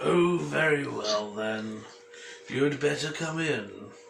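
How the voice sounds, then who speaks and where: A man speaks very slowly in a raspy, fairly high put-on character voice, with clear background noise behind him. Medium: read story. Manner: polite, mild.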